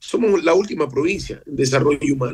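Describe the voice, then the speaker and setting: A man is speaking. His pace is moderate. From Ecuador, Esmeraldas. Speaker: mayor. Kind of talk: radio interview.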